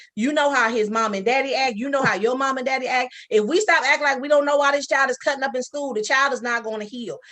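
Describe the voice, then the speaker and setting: A woman with an American accent talks at a very fast pace with hardly any pauses, her high voice bright and sharp. Her pitch varies an ordinary amount. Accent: Geechee-tinged, people say she talks funny. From Sacramento, California. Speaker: author and social worker. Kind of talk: casual interview chat.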